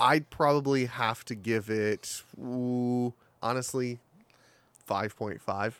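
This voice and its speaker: This man talks at a very slow pace. He keeps a fairly even intonation. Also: medium pitch for a man. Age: 30s. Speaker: podcast guest. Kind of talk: casual chat.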